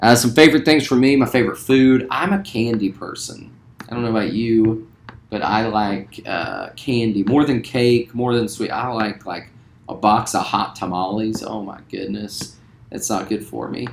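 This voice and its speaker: Here a man speaks with a Southern US accent. His pitch is medium and his pace moderate. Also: ordinary pitch variation. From West Virginia, later Louisiana. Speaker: school teacher. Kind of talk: casual self-introduction.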